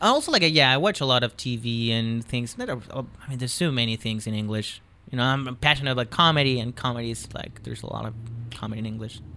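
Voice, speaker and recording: A man's very fast speech in a Chilean accent, medium in pitch, with fairly even intonation. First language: Spanish. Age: 20s. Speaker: comedian. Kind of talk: casual chat. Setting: studio.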